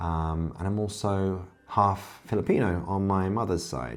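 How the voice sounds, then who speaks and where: Speaking with a southern English accent, a man shows ordinary pitch variation, and the room echo is audible. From Kent, southeast England. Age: 40s. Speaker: self-improvement YouTuber. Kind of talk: casual direct-to-camera monologue.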